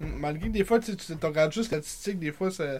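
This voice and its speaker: At a moderate pace, a man talks in a plain, everyday voice pitched fairly high. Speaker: sports podcast co-host. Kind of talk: casual chat; reading aloud.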